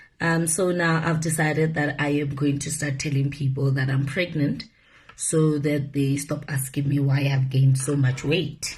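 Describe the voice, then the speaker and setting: A woman with a very deep, low voice speaks at a moderate pace, somewhat breathy, with audible room echo. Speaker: media personality. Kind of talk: casual vlog monologue. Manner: animated.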